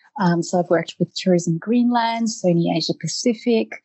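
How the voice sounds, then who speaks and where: This woman has a fairly low, somewhat breathy voice with an Australian accent and ordinary pitch variation. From Australia, Eltham near Melbourne. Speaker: professional photographer. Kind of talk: interview.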